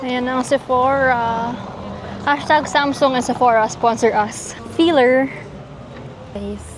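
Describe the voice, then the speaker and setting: A loud, high-pitched woman's voice at a very slow pace, fairly even in intonation, with long, frequent pauses over noticeable background noise. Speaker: vlogger. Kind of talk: casual vlog narration. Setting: shopping in stores. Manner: quieter when speaking English, loud in Tagalog; speaks louder to be heard.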